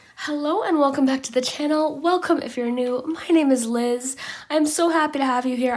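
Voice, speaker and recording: Over noticeable background noise, a woman speaks at a fairly quick pace in a high pitch with ordinary pitch variation. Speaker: tarot reader. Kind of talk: tarot reading. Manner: soft, relaxing.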